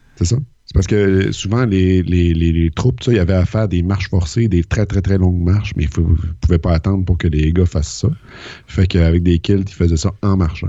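Very deep and low, a man's voice moves at a moderate pace with ordinary pitch variation. His loudness stays very even. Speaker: podcast co-host. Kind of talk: casual chat.

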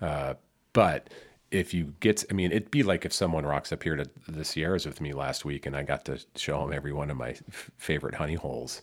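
A man with vocal fry talks at a fairly quick pace in a very deep, low pitch with ordinary pitch variation, on a very clean recording with a silent background. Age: 50s. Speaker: podcast co-host. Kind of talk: casual chat. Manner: animated.

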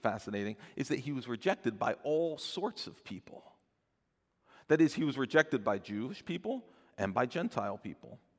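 Using a plain, everyday voice, a man speaks at a medium pitch and a moderate pace with lively intonation. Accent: American. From New Jersey. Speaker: pastor. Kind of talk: sermon. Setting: church.

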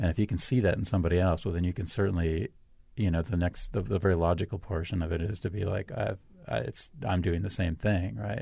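A man's very deep, low, somewhat breathy voice with a dark, mellow tone, ordinary pitch variation and a very fast pace. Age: 50s. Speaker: host's romantic partner. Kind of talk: intimate casual conversation. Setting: radio studio.

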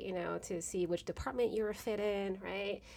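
A plain, everyday voice from a woman at medium pitch and moderate pace. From Philippines, raised in Carson, California from age seven. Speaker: chemistry professor. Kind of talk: casual interview.

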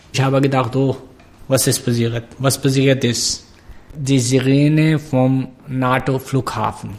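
Somewhat breathy and medium in pitch, a man speaks at a very slow pace with monotone, flat intonation and very even loudness. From Pakistan. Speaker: refugee journalist. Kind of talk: interview. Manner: halting, broken German.

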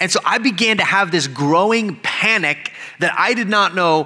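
A man with an American accent, raised and projecting, high-pitched, with lively intonation and a fairly slow pace, amid audible room echo and noticeable background noise. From Texas, El Paso. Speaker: pastor. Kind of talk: sermon.

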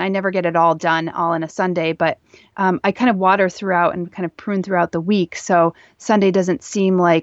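An unremarkable speaking voice with an American accent talks at a fairly quick pace and fairly even intonation, recorded dry and close with no echo against a quiet background. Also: woman. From US Northeast, northeastern Pennsylvania. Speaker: author and plant content creator. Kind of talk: interview.

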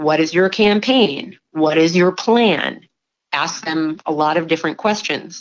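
Her pitch fairly low with ordinary variation, a woman reads at a fairly slow pace. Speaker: judicial candidate. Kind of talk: interview. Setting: phone call. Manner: calm.

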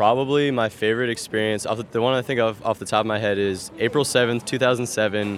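With an American accent, a man talks at a very fast pace and hardly pauses at all. His medium-pitched voice keeps a fairly even intonation. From New Jersey. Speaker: baseball fan. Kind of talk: casual interview. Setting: at the ballpark.

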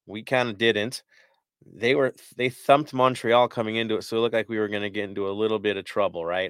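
An unremarkable speaking voice from a man, medium in pitch with ordinary variation, at a fairly quick pace. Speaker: podcast host. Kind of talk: casual chat.

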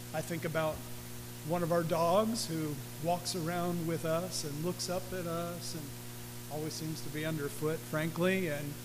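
There is audible room echo and noticeable background noise. The man has a fairly high pitch and fairly even intonation. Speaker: pastor. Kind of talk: sermon.

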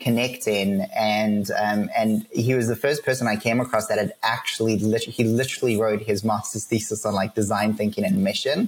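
A man with a medium pitch speaks at a moderate pace, his pitch varying in an ordinary way, while noticeable background noise runs underneath. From South Africa. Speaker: ministry leader. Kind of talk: casual interview chat. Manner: halting, many fillers.

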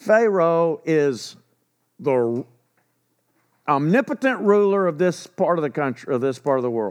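In a Texan accent, a man with a fairly high pitch speaks at a fairly slow pace, leaving long, frequent pauses. His pitch swings very widely against a quiet background. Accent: Texan Southern US. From Texas. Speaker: pastor. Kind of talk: sermon. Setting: church. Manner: halting, many fillers and restarts.

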